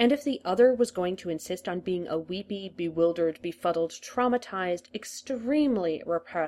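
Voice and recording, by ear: A text is read aloud in a natural voice.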